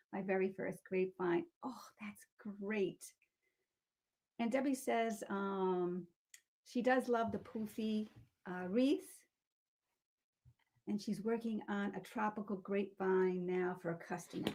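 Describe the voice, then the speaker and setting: Speaking with a Boston accent, a woman talks at a fairly slow pace in a medium-pitched voice, with ordinary pitch variation and long, frequent pauses. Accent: Boston-area New England. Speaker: wreath-making tutorial host. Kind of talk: live-stream crafting tutorial, reading viewer comments. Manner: casual, hesitant with fillers.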